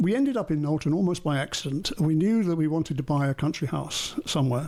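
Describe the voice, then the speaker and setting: A man with an English accent talks at a very fast pace in a fairly high voice, with ordinary pitch variation and very even loudness. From England. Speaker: artist and retired finance consultant. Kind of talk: interview.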